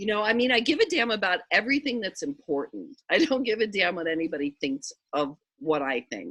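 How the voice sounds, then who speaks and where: A woman's fairly high, fairly quick voice with vocal fry and very wide pitch swings, in a dry, close sound with no echo. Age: 60s. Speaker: spiritual teacher. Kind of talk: casual chat.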